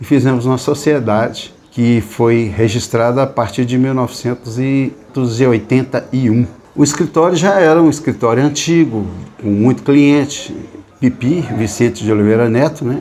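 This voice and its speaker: At a moderate pace and medium pitch, a man talks with ordinary pitch variation over noticeable background noise. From Minas Gerais, Brazil (Serro region). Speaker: accountant. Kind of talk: interview, reminiscing about career.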